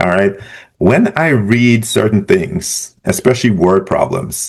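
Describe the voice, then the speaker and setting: Speaking with a Caribbean accent, a man uses lively intonation at a fairly slow pace and a fairly low pitch. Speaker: business professor. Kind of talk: tutorial. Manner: casual, conversational.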